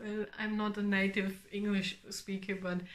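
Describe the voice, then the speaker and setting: Someone speaks at a very slow pace in a German accent. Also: woman. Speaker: knitting podcaster. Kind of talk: casual vlog chat. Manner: halting, many fillers.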